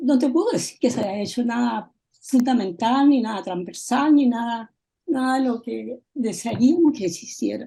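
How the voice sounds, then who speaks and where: A high-pitched woman with lively intonation at a fairly slow pace. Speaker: audience member, former UN worker. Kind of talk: Q&A comment after lecture.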